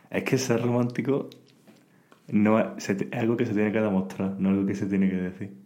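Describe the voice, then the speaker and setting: In a Spanish accent, a man talks in a fairly low pitch with a dark, mellow tone and ordinary pitch variation, with audible room echo. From Spain. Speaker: podcast guest, student. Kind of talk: casual chat. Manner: halting in English.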